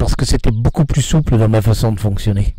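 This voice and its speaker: A man talks in a dark, mellow tone that is somewhat breathy. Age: 70s. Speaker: veterinarian and horse trainer. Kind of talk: interview. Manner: hesitant.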